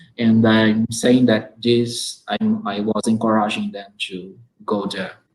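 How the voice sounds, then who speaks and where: A man with a Portuguese accent and medium pitch speaks at a very slow pace in a monotone, flat delivery, his loudness swinging widely. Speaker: teacher hosting an online talk. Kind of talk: interview conversation.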